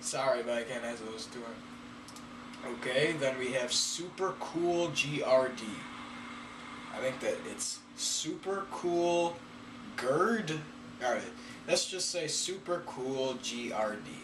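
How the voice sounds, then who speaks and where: Noticeable background noise and audible room echo surround a man speaking at a very slow pace. His pitch is fairly high and his intonation lively, with long, frequent pauses. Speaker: YouTuber. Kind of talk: casual Q&A reading viewer questions. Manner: hesitant, with fillers.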